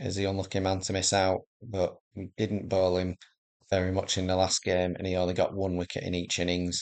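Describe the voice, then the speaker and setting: A man's very deep, low voice at a moderate pace, monotone and flat, against a quiet background. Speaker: gaming video creator. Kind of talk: gameplay commentary. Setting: home recording, early morning. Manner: casual, hesitant with fillers.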